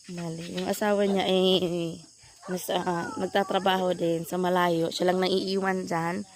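With noticeable background noise present, a woman speaks with fairly even intonation. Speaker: vlogger. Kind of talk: casual vlog narration. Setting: outdoors, family farm.

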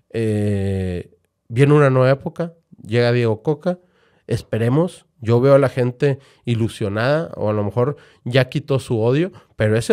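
Lively intonation comes through against a quiet background. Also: man. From Monterrey, Nuevo León, Mexico. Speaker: football fan and online community co-founder; podcast guest. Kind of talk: casual chat. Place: studio. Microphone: studio mic.

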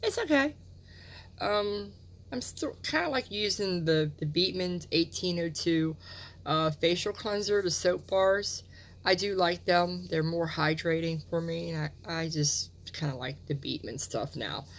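A woman's fairly low voice at a fairly slow pace, a plain, everyday voice. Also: lively intonation. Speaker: beauty product reviewer. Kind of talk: casual vlog chat. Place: home room. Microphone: phone near.

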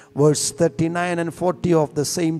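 A man is talking. There is faint music in the background. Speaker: church reader or preacher. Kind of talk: scripture reading. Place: church. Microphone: handheld.

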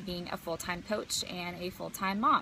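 A woman speaks in a bright, sharp tone. The sound is dry with no echo, over light background noise. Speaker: business coach. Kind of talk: casual vlog chat. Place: garden. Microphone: phone near.

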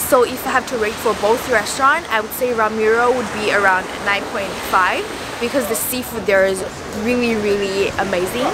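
Over loud background noise, a woman speaks with ordinary pitch variation in a dry sound with no echo. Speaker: travel vlogger. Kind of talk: casual vlog chat. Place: beach.

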